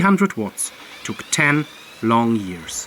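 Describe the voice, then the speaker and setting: Noticeable background noise runs under the recording. The speaker talks with a German accent. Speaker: DIY engine builder and YouTuber. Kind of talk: channel announcement. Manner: formal.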